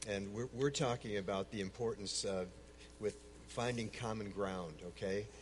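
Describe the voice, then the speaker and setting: A man's voice, fairly low in pitch, moves along at a moderate pace. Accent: American. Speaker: speaker on Islam, longtime Middle East missionary.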